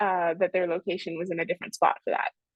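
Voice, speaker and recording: A woman is speaking against a quiet background. The sound is dry, with no echo. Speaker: software trainer. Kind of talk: tutorial. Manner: fast. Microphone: video call.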